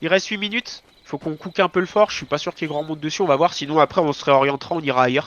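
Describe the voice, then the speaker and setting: Ordinary pitch variation runs through speech delivered at a very fast pace. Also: man, fairly high pitch for a man. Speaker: gaming shot-caller. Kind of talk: live game voice chat commands.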